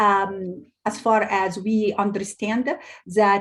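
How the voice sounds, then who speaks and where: Somewhat breathy, the speech unfolds at a very slow pace. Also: woman. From Egypt, Cairo. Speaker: cultural heritage advocate. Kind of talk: interview. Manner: halting, many fillers.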